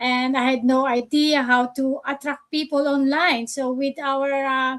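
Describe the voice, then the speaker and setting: Speaking with a Filipino accent, a woman holds a high pitch in a monotone, flat delivery. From Philippines. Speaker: nurse and online business coach. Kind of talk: live stream panel discussion. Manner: hesitant, many fillers.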